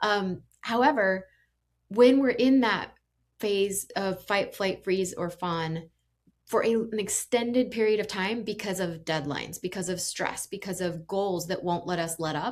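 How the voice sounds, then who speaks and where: A woman speaks with a slight Indiana accent at medium pitch and a fairly slow pace, with ordinary pitch variation. The recording is very clean with a silent background. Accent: slight Indiana (Hoosier). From Indiana, US Midwest. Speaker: executive coach and podcast host. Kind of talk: podcast monologue. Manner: animated.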